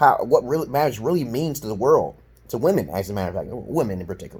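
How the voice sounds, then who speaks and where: A man with an American accent talks very fast in a somewhat breathy voice. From Brooklyn, New York, USA. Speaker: dating advisor, self-styled counselor. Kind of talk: casual opinion talk to camera.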